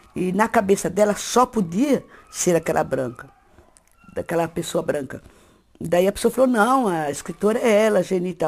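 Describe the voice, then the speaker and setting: Her pitch is medium and her pitch variation ordinary as a woman talks at a fairly quick pace. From interior of São Paulo state, Brazil. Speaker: writer. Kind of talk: interview testimony. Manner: halting, with repetitions.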